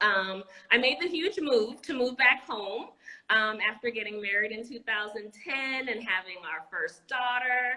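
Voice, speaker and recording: A woman speaks at a fairly high pitch. Her pace is fairly slow. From Anguilla. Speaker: educator and entrepreneur. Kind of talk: interview. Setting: live video stream.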